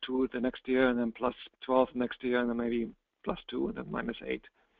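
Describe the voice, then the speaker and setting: A man with a non-native accent talks at a fairly quick pace and a medium pitch. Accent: noticeable non-native. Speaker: real estate investment presenter. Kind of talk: webinar presentation. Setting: online webinar.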